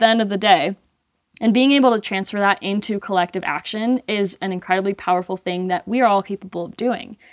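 A woman talks in an unremarkable speaking voice at a medium pitch and moderate pace, with ordinary pitch variation and a dry, close sound with no echo. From Colombia (Medellin), raised in US from age 8. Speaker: mountain athlete and skier. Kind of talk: casual interview chat.

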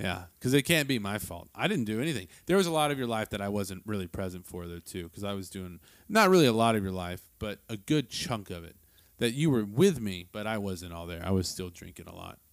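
In a very clean recording with a silent background, a man with a plain, everyday voice speaks at a fairly quick pace and fairly low pitch, with lively intonation and big swings in loudness. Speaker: father and podcast host. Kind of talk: casual chat.

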